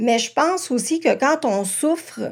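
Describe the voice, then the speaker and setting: Her pace very slow, a woman speaks with lively intonation. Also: very clean recording, silent background. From Quebec, Montreal South Shore. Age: 40s. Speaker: primary school teacher. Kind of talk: testimony.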